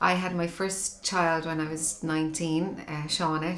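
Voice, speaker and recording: In a Dublin accent, a woman speaks at a fairly low pitch. Room echo is audible. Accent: Dublin Irish. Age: 40s. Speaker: mother interviewed in documentary. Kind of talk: personal testimony interview.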